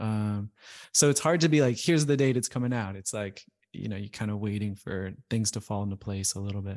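A man's unremarkable speaking voice, fairly low in pitch, with ordinary pitch variation and a fairly quick pace, in a very clean recording with a silent background. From moved around the US as a military child. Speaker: music producer and audio engineer. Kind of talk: casual chat.

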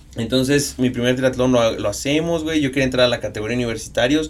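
A man speaks fairly quickly at a medium pitch in an unremarkable speaking voice, his intonation fairly even. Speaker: sports photographer and triathlete. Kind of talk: casual chat.

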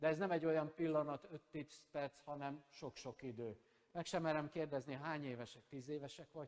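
A man with a fairly high pitch for a man speaks at a moderate pace. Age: 50s. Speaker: pastor. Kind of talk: sermon. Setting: church. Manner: animated.

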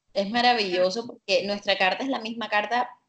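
Using fairly even intonation, a woman with a Colombian Caribbean accent speaks at a medium pitch and a moderate pace. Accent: Colombian Caribbean coast. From Colombia, Caribbean coast. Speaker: holistic psychologist and astrologer. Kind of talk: casual interview chat.

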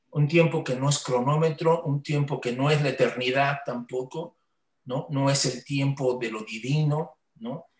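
The man sounds somewhat breathy. His delivery is fairly slow, with fairly even intonation. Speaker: podcast host. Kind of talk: casual chat. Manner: halting.

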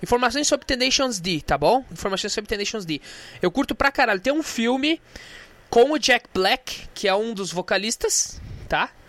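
With a Brazilian accent, a man speaks at an extremely high pitch in an animated tone, his pitch swinging very widely. The tone is bright and sharp, and the sound is dry and close with no echo. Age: 20s. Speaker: podcast host. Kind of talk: casual solo monologue with music.

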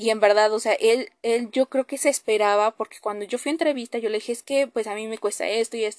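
Fairly high pitch from a woman with ordinary pitch variation at a fairly quick pace, dry and close with no echo, over a quiet background. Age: 20s. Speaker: podcast host. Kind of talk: personal monologue. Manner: hesitant with many fillers.

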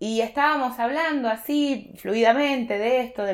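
A woman is speaking. She has a Rioplatense accent. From Argentina, Buenos Aires province (small town). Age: 30s. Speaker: embroidery teacher and textile artisan. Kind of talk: casual interview chat.

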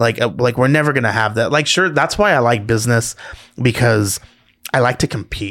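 A man with a medium pitch talks at a fairly quick pace in an animated tone. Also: ordinary pitch variation. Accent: Southern California. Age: 30s. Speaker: entrepreneur and podcast co-host. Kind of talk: casual chat.

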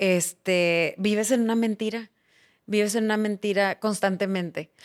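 On a very clean recording with a silent background and a dry, close sound with no echo, a woman with an unremarkable speaking voice talks at a moderate pace in a medium pitch with fairly even intonation. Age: 40s. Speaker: politician and recovering addict. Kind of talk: interview testimony.

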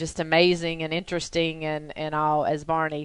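Her pitch very deep and low, a woman speaks at a moderate pace in a bright, sharp tone. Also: quiet background. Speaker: podcast host. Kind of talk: casual interview chat. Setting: studio.

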